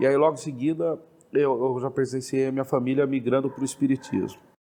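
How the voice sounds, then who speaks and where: Moving at a fairly quick pace, this speaker has a dark, mellow tone. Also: man. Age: 40s. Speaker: Umbanda practitioner. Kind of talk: interview testimony.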